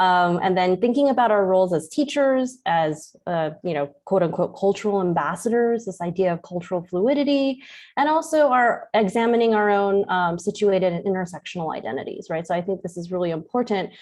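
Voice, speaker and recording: A woman's medium-pitched voice with lively intonation, at a fairly quick pace over a quiet background. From US West Coast, San Francisco Chinatown. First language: Cantonese. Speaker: professor. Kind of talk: lecture. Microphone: unstable internet connection, cuts in and out.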